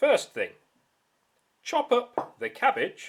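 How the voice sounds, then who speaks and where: Very slow pace from a man's voice. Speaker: science teacher. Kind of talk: tutorial. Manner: quieter; loud.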